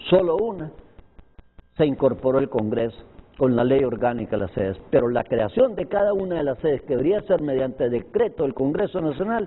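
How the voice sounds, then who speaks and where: A man's fairly high voice swings very widely in pitch as he talks at a fairly quick clip. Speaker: government commissioner. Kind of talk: heated debate.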